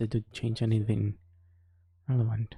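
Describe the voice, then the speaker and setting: A somewhat breathy whisper. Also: man. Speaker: streamer. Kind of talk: casual live stream commentary. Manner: whispering; subdued.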